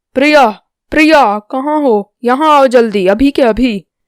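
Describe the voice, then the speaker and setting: Someone shouts in a put-on character voice at a moderate pace. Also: woman, high pitch for a woman. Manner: shouting, demanding.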